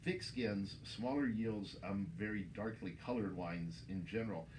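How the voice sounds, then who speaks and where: Speaking at a moderate pace, a man with an American accent has a fairly low pitch and lively intonation. Room echo is audible. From Texas. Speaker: winemaker. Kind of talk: interview. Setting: in a store.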